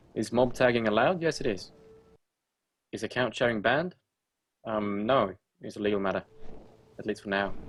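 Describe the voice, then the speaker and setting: Over music in the background, a man speaks at a fairly quick pace with long, frequent pauses, in a medium pitch with ordinary pitch variation and an angry, stern tone. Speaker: game server admin. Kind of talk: live stream Q&A. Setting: live stream. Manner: sounds angry or stern by nature; halting, many ums and uhs.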